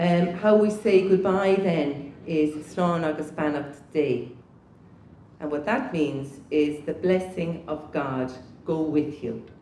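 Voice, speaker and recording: A woman with a southern Irish accent speaks very slowly in a very deep, low pitch with ordinary pitch variation, and room echo is audible. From southeast Ireland. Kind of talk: talk to a conference audience. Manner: halting.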